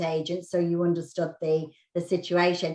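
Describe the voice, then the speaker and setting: A woman with a British accent, fairly low-pitched, at a moderate pace. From United Kingdom. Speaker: real estate agent. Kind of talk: interview.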